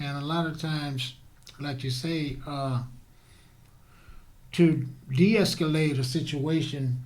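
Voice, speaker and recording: A man's fairly high voice, somewhat breathy, at a very slow pace with long, frequent pauses, fairly even intonation, and audible room echo. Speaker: talk show host. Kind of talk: interview. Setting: studio.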